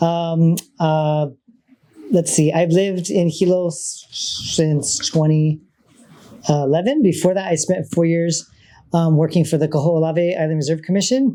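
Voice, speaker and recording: A loud man speaks at a fairly slow pace in a high pitch. His intonation stays fairly even. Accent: Hawaiian. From Hawaii, Oahu (Waikiki). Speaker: state trails program manager. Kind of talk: panel talk. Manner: halting, many fillers.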